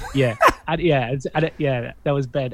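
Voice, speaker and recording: A man with an Irish accent talks at a very fast pace in a medium pitch. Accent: Irish accent, often mistaken for Australian. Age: 40s. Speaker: sleep researcher. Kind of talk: podcast interview.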